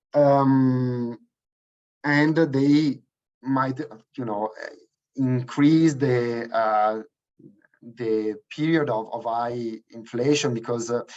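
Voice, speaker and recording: The speech comes at a very slow pace in an Italian accent, with long, frequent pauses and fairly even intonation. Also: man, medium pitch for a man. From Italy. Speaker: energy policy researcher. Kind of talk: webinar presentation. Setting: online webinar. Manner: halting, many fillers.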